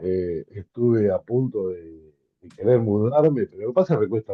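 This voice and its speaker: Speaking at a moderate pace, a man uses a Rioplatense accent at medium pitch. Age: 60s. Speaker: small business owner. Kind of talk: webinar discussion.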